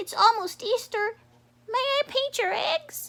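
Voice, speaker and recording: In a put-on character voice, the speaker talks squeakily at an extremely high pitch and a fairly slow pace. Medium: read story.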